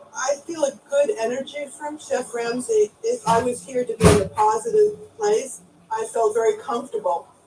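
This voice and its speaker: There is noticeable background noise. The pitch swings very widely. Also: woman, high pitch for a woman, moderate pace. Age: 60s. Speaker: restaurant owner. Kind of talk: reality TV confrontation.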